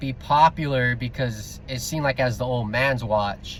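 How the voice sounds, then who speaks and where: A man's medium-pitched, somewhat breathy voice at a fairly slow pace. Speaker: vlogger. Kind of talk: casual rant vlog. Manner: stutters, many filler words; unscripted, off the cuff.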